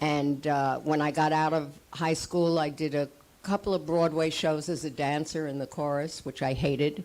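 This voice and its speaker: With a New York accent, a woman speaks at a moderate pace. Her pitch is very deep and low, and her intonation is monotone and flat. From US, New York City (Manhattan). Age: 80s+. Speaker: actress. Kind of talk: panel talk.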